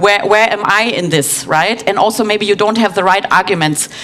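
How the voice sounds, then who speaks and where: There is noticeable background noise as a woman talks with ordinary pitch variation. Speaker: conference speaker, head of UX design. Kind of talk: conference talk. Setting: stage with audience. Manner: hesitant, many fillers.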